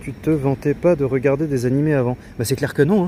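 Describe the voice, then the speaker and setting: A medium-pitched male voice at a moderate pace, with ordinary pitch variation and noticeable background noise. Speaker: streamer. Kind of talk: casual chat. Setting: outdoors. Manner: hesitant, many filler sounds.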